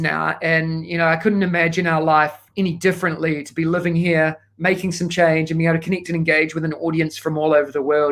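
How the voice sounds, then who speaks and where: With a strong New Zealand accent, a man talks at a fairly quick pace in a high pitch. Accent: thick New Zealand. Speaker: education consultant. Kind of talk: keynote talk. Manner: fast; animated.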